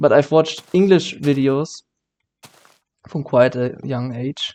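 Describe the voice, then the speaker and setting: A man's fairly high voice in a German accent, dark and mellow in tone, with ordinary pitch variation and a very slow pace. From Germany. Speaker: gaming YouTuber. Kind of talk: let's play commentary. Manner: halting, many fillers and self-corrections.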